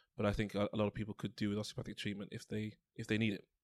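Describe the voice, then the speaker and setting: A man with a London accent talks very fast at a fairly low pitch. The recording is very clean with a silent background, and the sound is dry and close with no echo. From London (Tottenham). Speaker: osteopath. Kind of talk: interview.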